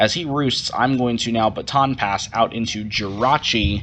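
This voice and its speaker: Fairly low pitch from a man, with ordinary pitch variation. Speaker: gaming youtuber, competitive player. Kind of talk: live gameplay commentary. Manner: fast.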